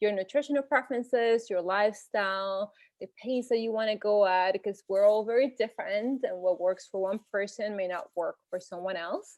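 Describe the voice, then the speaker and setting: A woman with a Spanish accent speaks at a moderate pace, her fairly high pitch showing ordinary pitch variation. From Venezuela. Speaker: health and nutrition coach. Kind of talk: informal presentation.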